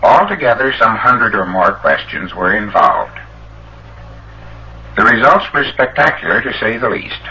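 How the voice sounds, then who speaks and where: Long, frequent pauses break up speech at a moderate pace, with noticeable background noise behind it. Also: man. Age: 40s. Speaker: electrical engineer. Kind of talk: public lecture address.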